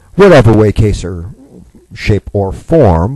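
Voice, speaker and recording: A man speaks at a fairly low pitch in a dark, mellow tone, somewhat breathy, with very wide pitch swings. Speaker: radio show host. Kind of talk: live talk radio monologue. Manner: casual, chatty, energetic.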